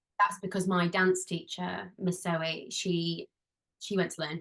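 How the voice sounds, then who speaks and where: A woman with a strong Yorkshire accent, medium in pitch, in a monotone, flat intonation. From northern England, Halifax, West Yorkshire. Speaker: musical theatre performer and dance teacher. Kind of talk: podcast interview.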